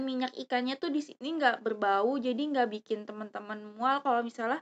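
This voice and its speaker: Her high, shrill voice keeps a fairly even intonation as the woman speaks. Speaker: YouTuber. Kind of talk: product review vlog. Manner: casual, hesitant with fillers.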